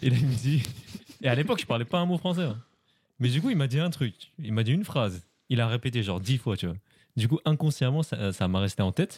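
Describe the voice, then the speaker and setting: The speaker is somewhat breathy and talks at a very fast pace, pitch swinging very widely, with long, frequent pauses. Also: man, medium pitch for a man. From France. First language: Khmer (speaking French). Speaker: polyglot guest. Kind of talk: casual chat.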